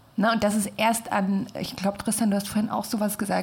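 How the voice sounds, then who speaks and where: Over noticeable background noise, a woman talks in a medium pitch with flat, monotone intonation. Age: 20s. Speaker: design student. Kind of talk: casual chat. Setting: studio.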